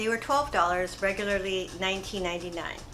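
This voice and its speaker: A woman in a relaxed tone with ordinary pitch variation and audible room echo. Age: 50s. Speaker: fashion haul vlogger. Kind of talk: casual product review. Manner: relaxed, chatty.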